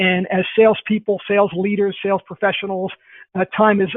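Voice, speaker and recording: Talking at a fairly quick pace, a man speaks in a high pitch. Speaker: sales trainer. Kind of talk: webinar presentation. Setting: online webinar. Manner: fast.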